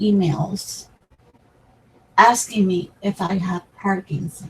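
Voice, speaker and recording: The speaker is a woman. She goes at a very slow pace. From Puerto Rico. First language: Spanish. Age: 60s. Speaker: crafting YouTuber. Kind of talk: personal talk to camera. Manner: halting.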